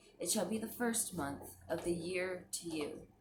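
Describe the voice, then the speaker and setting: The pace is fairly slow, with ordinary pitch variation. Background noise is noticeable. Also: woman. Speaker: Bible reading channel host. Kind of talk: reading aloud.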